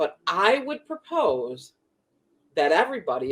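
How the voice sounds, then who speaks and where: This voice has an animated tone, very wide pitch swings and vocal fry, in a Chicago accent. The pace is moderate. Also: woman. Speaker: spiritual teacher and podcast co-host. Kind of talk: casual chat.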